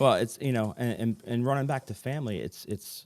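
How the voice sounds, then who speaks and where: A man with a New Jersey accent talks at a fairly quick pace in a calm tone, his pitch varying in an ordinary way. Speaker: fire chief. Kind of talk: podcast interview. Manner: calm, rarely raises voice.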